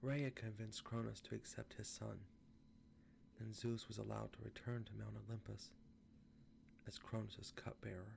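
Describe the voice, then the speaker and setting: A soft-spoken man talks at a fairly slow pace. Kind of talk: ASMR reading of a myth.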